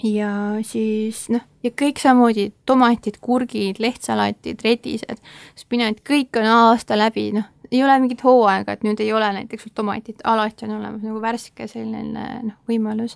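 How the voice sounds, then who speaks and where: The woman's fairly high-pitched voice comes through dry and close with no echo, her intonation monotone and flat. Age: young. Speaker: former exchange volunteer in Costa Rica. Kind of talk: interview. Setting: studio.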